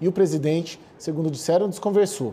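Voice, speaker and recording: This man talks at a fairly quick pace, his voice somewhat breathy. His pitch varies in an ordinary way. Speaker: political correspondent. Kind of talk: live news report.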